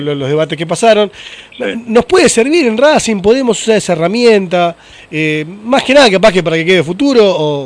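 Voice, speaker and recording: A man speaks with a Rioplatense accent. Noticeable background noise runs behind him. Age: 40s. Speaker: podcast host. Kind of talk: casual interview chat.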